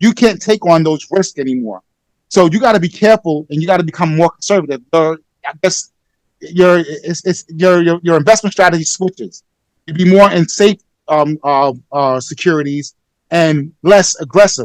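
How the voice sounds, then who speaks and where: This man has an American accent and a high pitch, with lively intonation. His voice sounds dry and close, with no echo. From US Northeast, Brooklyn, New York. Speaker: life insurance and financial advisor. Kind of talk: interview. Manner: fast; animated.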